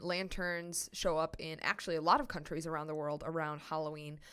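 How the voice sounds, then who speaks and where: Fairly quick speech with a Midwestern American accent, hardly any pauses, in a very clean recording with a silent background. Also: woman. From United States. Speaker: podcast host. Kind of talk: solo educational podcast.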